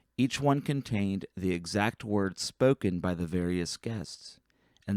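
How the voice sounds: Natural reading voice throughout.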